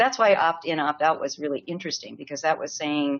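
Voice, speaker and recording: The woman's voice sits very deep and low, with ordinary pitch variation. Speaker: public health educator and trainer. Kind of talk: webinar Q&A answers. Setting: online webinar. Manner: fast; animated.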